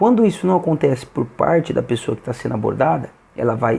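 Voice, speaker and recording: Soft-spoken and at a moderate pace, a man with a fairly high pitch, a dark, mellow tone and vocal fry talks. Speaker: youtuber. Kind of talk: explainer monologue. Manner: halting.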